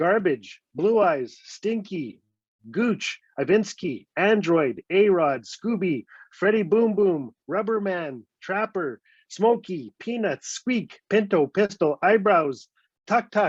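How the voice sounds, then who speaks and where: A man with a northern Canadian accent speaks very slowly, his high-pitched voice full of lively intonation. The sound is dry and close with no echo, over a quiet background. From Northwest Territories, Canada (Fort Smith). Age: 50s. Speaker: storyteller. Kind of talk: storytelling. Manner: animated.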